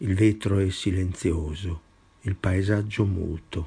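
A man's very slow, fairly low, dark and mellow voice, somewhat breathy. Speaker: poet reading own work. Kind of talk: poetry reading, measured and incantatory, with refrains repeated like a litany.

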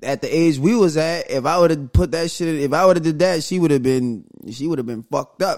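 With ordinary pitch variation, a man talks in a fairly high voice. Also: fairly quick pace. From New Orleans. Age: 30s. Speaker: podcast co-host. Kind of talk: casual chat.

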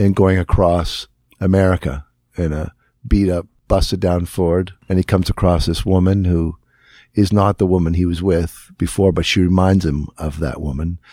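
In a northern Ontario accent, a man with a very deep, low pitch and a dark, mellow tone speaks at a moderate pace with fairly even intonation, in a very clean recording with a silent background. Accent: Canadian (northern Ontario). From northern Ontario, Canada. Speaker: guitarist and singer. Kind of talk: casual interview. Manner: halting, many fillers and restarts.

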